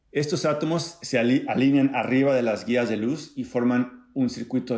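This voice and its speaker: A man speaks at a moderate pace and medium pitch in an ordinary speaking voice. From Mexico, Acapulco (Guerrero). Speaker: physics professor. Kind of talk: scripted narration.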